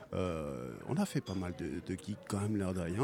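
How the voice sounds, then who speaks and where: A man speaks with lively intonation. His pitch is very deep and low. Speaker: band member. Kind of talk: casual interview chat. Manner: relaxed, chuckling.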